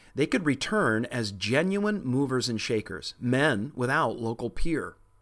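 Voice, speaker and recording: At a fairly slow pace, a man speaks with an ordinary speaking voice of medium pitch. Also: quiet background. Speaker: history podcast narrator. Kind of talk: history documentary narration. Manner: measured, even-paced, formal storytelling.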